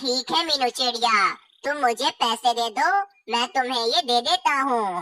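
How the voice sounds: A cartoonish character voice sounds female and high in pitch. It moves at a moderate pace.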